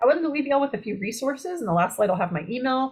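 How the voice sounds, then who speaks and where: A somewhat breathy woman talks at a very fast pace with ordinary pitch variation. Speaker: university horticulture lecturer. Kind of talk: webinar lecture. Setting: online webinar.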